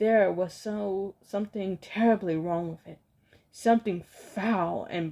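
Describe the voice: The voice reads aloud plainly, with ordinary pitch variation.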